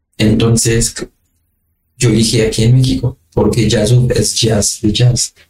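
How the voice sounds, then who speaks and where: Somewhat breathy and monotone, a man with a medium pitch talks at a very slow pace and a very even loudness, with long, frequent pauses. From Haiti. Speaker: singer-songwriter. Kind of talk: interview. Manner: halting.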